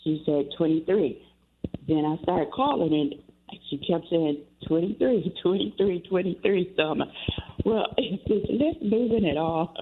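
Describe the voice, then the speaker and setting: With noticeable background noise, a woman talks at a moderate pace and at a very even loudness. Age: 70s. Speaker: caller with experience of homelessness. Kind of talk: call-in radio testimony. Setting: phone call. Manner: halting, many fillers and repetitions.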